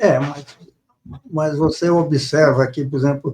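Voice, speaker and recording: Here a man speaks at a fairly slow pace. His voice is fairly high and somewhat breathy. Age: 80s+. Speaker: author. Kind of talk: interview. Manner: halting, repeats words.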